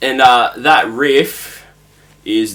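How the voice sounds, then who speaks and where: Lively intonation from a man with an Australian accent. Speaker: guitar teacher. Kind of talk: tutorial. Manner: casual.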